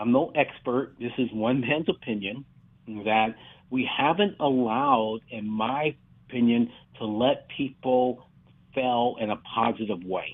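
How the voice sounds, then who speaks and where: In a normal speaking voice, a man talks at a fairly slow pace with medium pitch and ordinary pitch variation. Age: 60s. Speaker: track and field coach. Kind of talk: radio interview.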